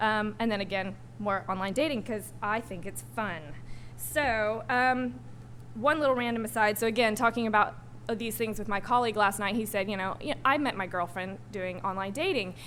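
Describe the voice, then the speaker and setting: Audible room echo surrounds a woman whose fairly high pitch has vocal fry and ordinary pitch variation. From US South, Arkansas. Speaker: digital strategist, panel speaker. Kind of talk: panel talk. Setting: stage with audience. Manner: fast; hesitant, many ums.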